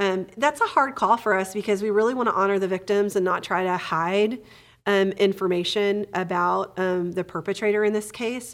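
In a very clean recording with a silent background, a woman with an American accent speaks at a moderate pace. She has an unremarkable speaking voice, a medium pitch, and fairly even intonation. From Texas. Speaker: therapist podcast host. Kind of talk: casual chat.

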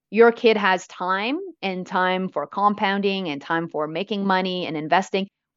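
A woman with an ordinary speaking voice and a Canadian accent talks at a moderate pace, her medium pitch showing ordinary pitch variation. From Canada, Vancouver. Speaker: financial educator and author. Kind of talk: interview.

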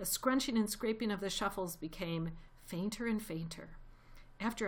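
The pitch moves in an ordinary way through this unforced reading voice.

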